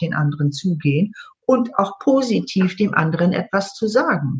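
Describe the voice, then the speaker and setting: Her pitch is medium for a woman, yet this woman's voice swings very widely up and down. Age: 60s. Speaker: EFT trainer and coach. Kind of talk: interview. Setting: online call.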